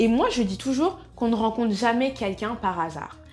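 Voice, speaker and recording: Music plays behind a woman with a fairly high voice. Her intonation is lively. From Soninké, Mauritanian family. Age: 20s. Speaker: natural wellness vlogger. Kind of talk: casual talk to camera.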